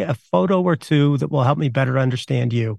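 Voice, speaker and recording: Using a plain, everyday voice, a man talks at a fairly quick pace with lively intonation in a dry, close sound with no echo. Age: 50s. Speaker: university professor. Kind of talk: interview.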